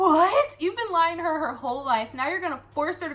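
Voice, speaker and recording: A woman speaks in a raised, projected voice with lively intonation. Noticeable background noise runs behind her. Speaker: booktuber and young adult author. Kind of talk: book review rant. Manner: fast; animated.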